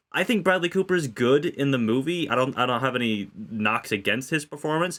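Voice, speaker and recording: A man with a plain, everyday voice speaks at a medium pitch and a moderate pace, with lively intonation and very even loudness. The recording is very clean, with a silent background. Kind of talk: casual film review discussion.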